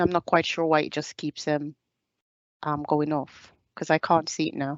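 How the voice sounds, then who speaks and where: At a moderate pace, a woman with a Caribbean accent speaks with a very deep, low pitch. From Jamaica. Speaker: soldier. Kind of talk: presentation.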